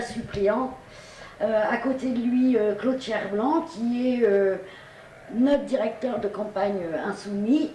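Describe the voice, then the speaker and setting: A woman speaks very slowly, her pitch fairly high with ordinary variation. The room echoes audibly, and background noise is noticeable. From Normandy, Pays de Caux near Yvetot. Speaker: political candidate. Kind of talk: campaign interview and discussion. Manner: hesitant, many fillers.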